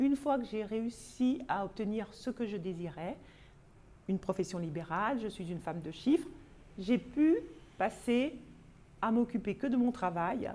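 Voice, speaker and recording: A woman's somewhat breathy voice, dark and mellow in tone, with lively intonation. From Paris, France. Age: 60s. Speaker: vlogger, personal development. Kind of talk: casual self-introduction monologue. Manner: hesitant, with frequent fillers.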